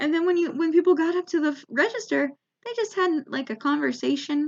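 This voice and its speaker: With an American accent, a woman speaks at a moderate pace and an extremely high pitch. Her intonation is lively. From United States. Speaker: comedian. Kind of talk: stand-up comedy storytelling to camera.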